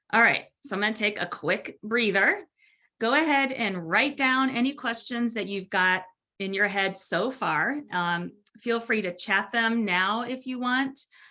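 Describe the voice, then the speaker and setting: The speaker has an ordinary speaking voice with ordinary pitch variation. The pace is fairly slow, and the background is quiet. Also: woman, fairly high pitch for a woman. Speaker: webinar presenter. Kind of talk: webinar presentation. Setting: online webinar.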